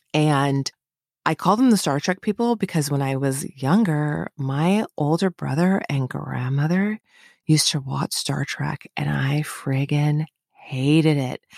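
A woman with an American accent speaks fairly slowly in a very deep, low pitch, her tone animated with ordinary pitch variation. The sound is dry and close with no echo, on a very clean recording with a silent background. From Northern California. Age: 50s. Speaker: podcast host and psychic guide. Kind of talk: personal storytelling monologue. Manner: animated, frequent laughter.

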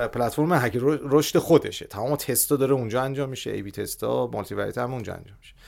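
This man's voice shows vocal fry and sits at a medium pitch, with ordinary pitch variation. He speaks very fast, and his volume rises and falls sharply. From Iran, Tehran. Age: 40s. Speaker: growth hacking expert and startup founder. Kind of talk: podcast interview.

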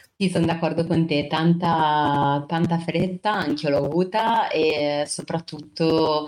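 A woman at a very slow pace, with fairly even intonation, very even loudness and hardly any pauses. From Genoa, Liguria, northern Italy. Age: 20s. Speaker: teacher, former communications worker. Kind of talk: interview conversation. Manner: halting, with fillers and repetitions.

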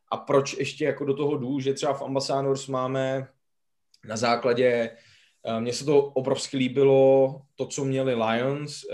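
Spoken at a fairly slow pace, the voice stays monotone with flat intonation. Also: man. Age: 30s. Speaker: podcast co-host. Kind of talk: casual podcast interview.

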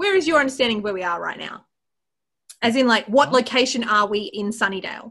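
A woman with a fairly high, bright, sharp voice speaks at a very fast pace in an animated tone, her intonation lively and her loudness swinging widely. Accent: Australian. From Australia. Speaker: podcast co-host. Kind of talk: casual chat.

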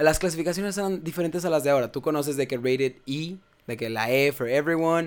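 A man talks at a very fast pace. His fairly high pitch moves with ordinary variation. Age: 20s. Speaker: gaming content creator. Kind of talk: casual chat.

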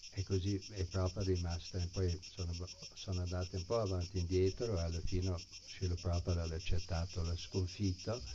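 Over noticeable background noise, a man speaks in a monotone, flat intonation with a very deep, low pitch at a moderate pace. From US, San Francisco. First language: English (speaking Italian). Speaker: Hare Krishna devotee and teacher. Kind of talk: spiritual talk to an audience. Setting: live gathering with audience, streamed online.

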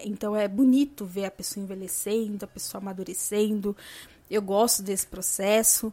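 Here a woman speaks at a fairly slow pace and fairly high pitch with fairly even intonation. The recording is very clean with a silent background. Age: 30s. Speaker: podcast host. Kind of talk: casual monologue.

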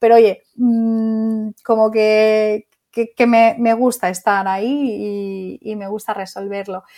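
A woman with a fairly high pitch and a dark, mellow tone speaks at a very slow pace with hardly any pauses. Her intonation is monotone and flat, while her loudness swings widely. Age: 30s. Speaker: psychologist and clinic owner. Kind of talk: interview.

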